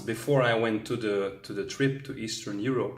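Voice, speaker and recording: At a moderate pace, a man speaks in a medium pitch with ordinary pitch variation and audible room echo. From Belgium, Antwerp. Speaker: travel vlogger. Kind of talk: vlog monologue.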